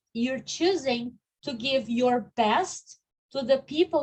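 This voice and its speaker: A woman speaks very slowly with a high pitch and lively intonation. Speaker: online course coach. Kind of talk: live online workshop. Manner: animated.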